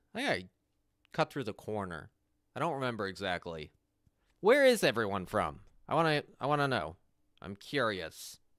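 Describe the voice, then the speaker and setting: A man with an American accent talks at a moderate pace, his pitch swinging very widely, with long, frequent pauses, a dry sound with no echo and a quiet background. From US Northeast, Connecticut. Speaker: live streamer. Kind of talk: casual chat, live gaming stream. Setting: online stream, studio. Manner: animated, chatty.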